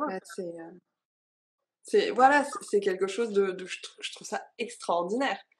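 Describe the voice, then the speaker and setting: This woman speaks with ordinary pitch variation. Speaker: freebirth content creator. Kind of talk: casual chat. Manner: halting.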